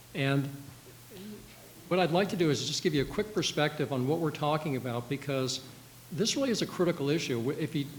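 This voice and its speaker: The speaker goes at a fairly quick pace, with ordinary pitch variation. Long, frequent pauses break up the speech. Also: man, fairly high pitch for a man. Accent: American. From Washington DC. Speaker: former senate staffer, policy panelist. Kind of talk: panel discussion. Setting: panel event with audience and livestream. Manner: fast.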